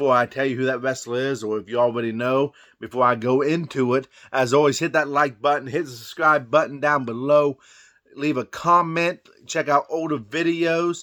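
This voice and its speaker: A man speaks with a fairly high pitch and a bright, sharp tone, in a Southern US accent. The recording is very clean, with a silent background. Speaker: wrestling commentary vlogger. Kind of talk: casual monologue. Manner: conversational.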